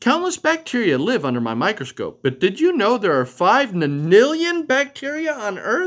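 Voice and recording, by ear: A man puts on a character voice, pitched high and fairly bright in tone, swinging very widely in pitch at a moderate pace on a very clean recording with a silent background.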